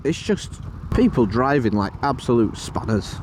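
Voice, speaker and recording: Over noticeable background noise, a man talks in a Yorkshire accent. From Yorkshire, northern England. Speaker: motorcycle vlogger. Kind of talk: casual vlog commentary while riding. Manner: animated.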